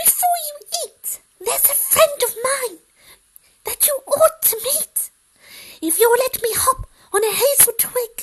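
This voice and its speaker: This put-on character voice, pitched extremely high, moves at a fairly slow pace with long, frequent pauses. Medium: read story.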